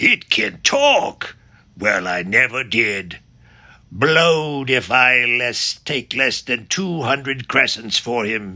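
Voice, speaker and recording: A man's put-on character voice at medium pitch, very slow in pace, with lively intonation. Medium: read story. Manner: coarse and slangy.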